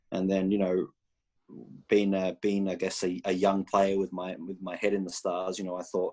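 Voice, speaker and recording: On a very clean recording with a silent background, a man with an Australian accent speaks at a fairly quick pace with a very deep, low pitch. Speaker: college soccer head coach. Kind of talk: interview answer at recruiting showcase. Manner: halting with many fillers and repetitions.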